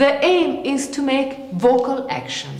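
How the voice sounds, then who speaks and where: A woman speaks at a high pitch. Noticeable background noise and audible room echo surround her voice. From Italy. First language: Italian. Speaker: theatre actress. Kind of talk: lecture-demonstration.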